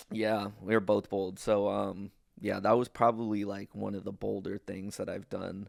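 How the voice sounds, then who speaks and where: On a very clean recording with a silent background, a man with a fairly low pitch speaks at a fairly slow pace in a monotone, flat intonation. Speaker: podcast host. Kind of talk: casual podcast conversation.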